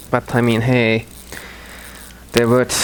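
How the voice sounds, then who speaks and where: Over noticeable background noise, a man with a non-native accent talks at a fairly slow pace and medium pitch. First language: not English. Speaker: gaming commentator. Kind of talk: gameplay commentary. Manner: halting.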